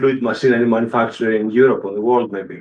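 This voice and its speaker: This man speaks at a medium pitch with a Greek accent. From Greece. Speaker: engineering professor. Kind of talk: panel introduction. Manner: halting, many fillers.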